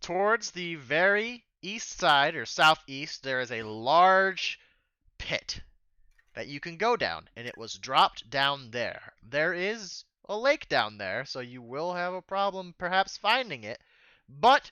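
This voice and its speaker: Using a high-pitched, put-on character voice, a man talks at a fairly slow pace. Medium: actual play. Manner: brusque, impatient.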